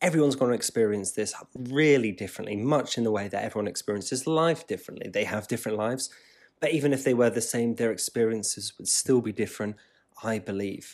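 A man with a West Country accent, talking at a very fast pace. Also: medium pitch for a man, ordinary pitch variation. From Devon, England. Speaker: podcast host. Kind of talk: solo podcast monologue.

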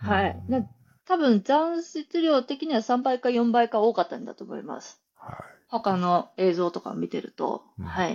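In a dry, close recording with no echo and a quiet background, a woman with a fairly high pitch makes very wide pitch swings and big swings in loudness. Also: moderate pace. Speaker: trail runner. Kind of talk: interview.

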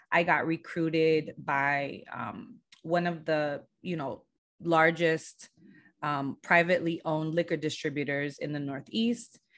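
A woman with an American accent and a very deep, low pitch speaks at a fairly slow pace with ordinary pitch variation against a quiet background. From Southern California, San Diego. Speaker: brand agency founder. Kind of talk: podcast interview.

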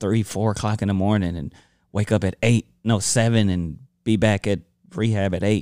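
An American man speaks at a moderate pace in a fairly low, dark, mellow voice with fairly even intonation. The recording is very clean, with a silent background. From Watts, Los Angeles, California. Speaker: rapper and father. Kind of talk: casual chat.

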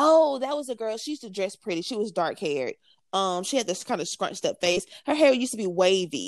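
A woman talks very fast with an animated tone. Her fairly high voice swings very widely in pitch. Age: 20s. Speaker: podcast co-host. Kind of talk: casual chat.

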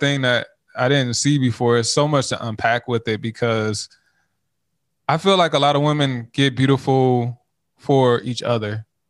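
A man with an ordinary speaking voice and a fairly high pitch at a moderate pace, dry and close with no echo, on a very clean recording with a silent background. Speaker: podcast co-host guest. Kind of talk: casual conversational discussion.

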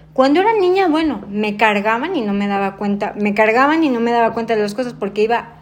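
Room echo and background noise are both noticeable. A woman with a fairly high pitch talks at a fairly quick pace. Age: 30s. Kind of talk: interview. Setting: at her home.

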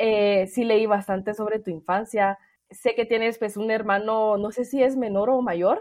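This woman has a plain, everyday voice with a fairly high pitch. She speaks at a fairly slow pace with fairly even intonation. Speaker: podcast host. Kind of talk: interview.

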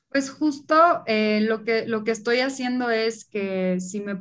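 A woman with a slight Monterrey accent speaks very slowly in a fairly high voice, her pitch varying in an ordinary way. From Monterrey, Mexico. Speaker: food entrepreneur. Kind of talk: casual interview.

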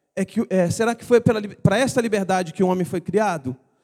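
Recorded very cleanly against a silent background, a man speaks in a dark, mellow tone with ordinary pitch variation, the sound dry and close with no echo. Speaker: preacher. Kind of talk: sermon.

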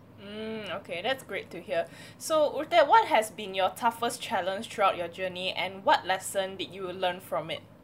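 Against noticeable background noise, a woman at medium pitch talks at a moderate pace with ordinary pitch variation and big swings in loudness. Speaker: podcast host. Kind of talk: casual interview chat. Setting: video call.

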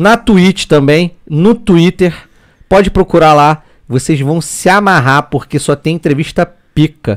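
Speaking at a fairly slow pace in an animated tone, a man with a high pitch and ordinary pitch variation is heard in a dry, close sound with no echo on a very clean recording with a silent background. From Petrópolis, Rio de Janeiro state, Brazil. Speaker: 3D graphic artist. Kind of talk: casual chat.

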